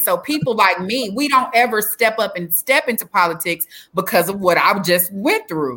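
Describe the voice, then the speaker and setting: Bright and sharp in tone, a woman with an American accent speaks at a moderate pace with lively intonation. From Texas (Dallas), parents from Alabama and Louisiana. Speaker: mayoral candidate and former prisoner, speaker. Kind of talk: interview, telling life story. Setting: online live stream interview.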